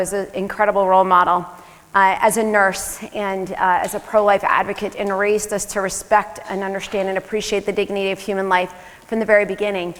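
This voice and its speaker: A woman speaks fairly quickly while noticeable noise can be heard in the background. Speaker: family physician. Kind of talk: conference talk. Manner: fast.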